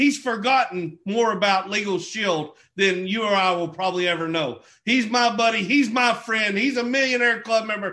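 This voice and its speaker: A man with a southeastern Oklahoma accent speaks in a raised, projected voice at a moderate pace, his pitch high and his tone bright and sharp, with ordinary pitch variation. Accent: southeastern Oklahoma, Southern US. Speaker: network marketing leader hosting a call. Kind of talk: motivational business call. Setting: group conference call. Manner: halting, filler-heavy, enthusiastic.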